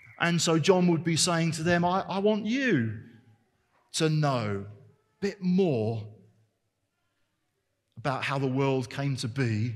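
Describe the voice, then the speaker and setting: A man at a very slow pace, his pitch swinging very widely, with long, frequent pauses. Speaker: preacher. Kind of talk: sermon. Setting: church service. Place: church. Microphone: headset.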